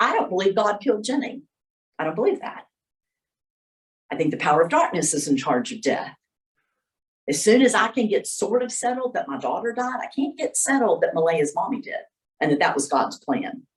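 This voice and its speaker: A woman with a fairly high pitch and vocal fry talks at a fairly quick pace, her pitch swinging very widely. Long, frequent pauses break up her speech. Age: 60s. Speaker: workshop presenter. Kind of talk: workshop talk. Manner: casual, conversational.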